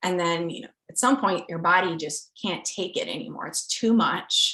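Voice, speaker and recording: A woman speaks with a Midwestern American accent over a quiet background. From rural US Midwest. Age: 30s. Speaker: scientist. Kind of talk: interview.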